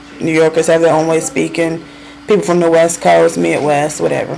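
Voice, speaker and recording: A woman speaks with a Southern US accent. Noticeable background noise can be heard. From US South, North Carolina. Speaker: vlogger. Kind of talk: casual monologue. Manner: animated.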